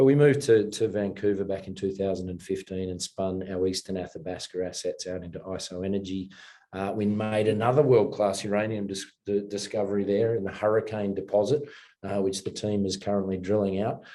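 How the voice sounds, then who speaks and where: With an Australian accent, a man talks at a fairly quick pace in a fairly low, dark and mellow voice with fairly even intonation. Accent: Australian, kept. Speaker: mining company chairman and investor. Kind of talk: interview.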